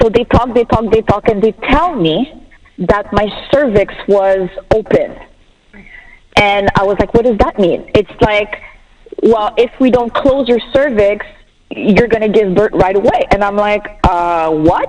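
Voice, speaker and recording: A woman's fairly high voice with a French accent, fairly slow and full of long, frequent pauses, her loudness very even and her pitch varying in an ordinary way, over noticeable background noise. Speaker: bereaved mother sharing her story. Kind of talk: personal testimony on a talk show. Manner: animated.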